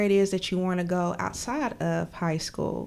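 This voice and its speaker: Speaking with an American accent, a woman uses a normal speaking voice at a fairly low pitch. Her intonation is fairly even and her pace fairly slow. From southern West Virginia, McDowell County. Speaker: school social worker. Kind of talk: casual interview.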